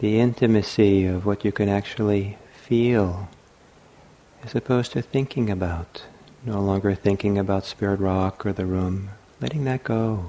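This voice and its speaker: In a normal speaking voice, a man talks at a fairly low pitch with fairly even intonation. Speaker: meditation teacher. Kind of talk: guided meditation. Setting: meditation hall at a retreat center. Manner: slow, soft-spoken, calm and unhurried with long pauses; gentle, soothing, inviting.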